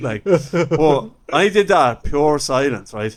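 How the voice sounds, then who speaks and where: The speaker has an Irish accent and lively intonation. Background noise can be clearly heard. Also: man. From Ireland. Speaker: stand-up comedian. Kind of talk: podcast interview anecdote.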